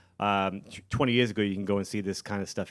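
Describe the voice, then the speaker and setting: In a very clean recording with a silent background, a man with a plain, everyday voice speaks at a fairly low pitch with fairly even intonation. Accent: American. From South Shore, Massachusetts. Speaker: rock band guitarist. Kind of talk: casual interview. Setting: live venue recording.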